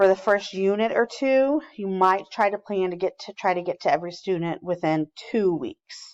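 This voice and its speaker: A woman's plain, everyday voice at a medium pitch and moderate pace, with a dry, close sound and no echo. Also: quiet background. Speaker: teacher trainer. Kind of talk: recorded training presentation.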